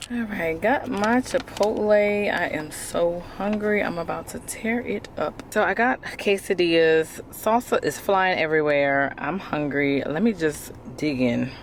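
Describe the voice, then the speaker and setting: A woman with a fairly low pitch talks with lively intonation and hardly any pauses amid noticeable background noise. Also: fairly slow pace. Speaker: lifestyle vlogger. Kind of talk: casual vlog talk to camera. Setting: in a car. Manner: casual, chatty.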